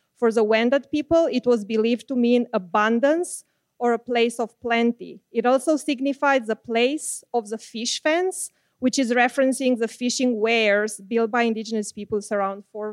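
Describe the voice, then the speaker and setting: A woman with a plain, everyday voice at a moderate pace, ordinary pitch variation, a dry, close sound with no echo, and a very clean recording with a silent background. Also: fairly high pitch for a woman. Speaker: academic. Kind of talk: land acknowledgement. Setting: stage with audience.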